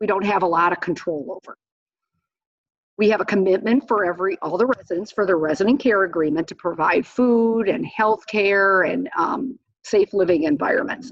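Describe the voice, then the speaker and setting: A woman with an American accent at a medium pitch, lively in intonation, at a moderate pace. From US Midwest, Wisconsin. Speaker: accountant presenting the budget. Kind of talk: educational presentation.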